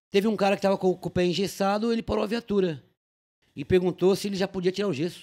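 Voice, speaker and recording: Talking at a very fast pace, a man uses a high pitch and fairly even intonation. The background is quiet. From São Paulo city (Tatuapé); São Paulo. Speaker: police officer; podcast guest. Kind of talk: casual chat. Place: studio. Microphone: studio mic.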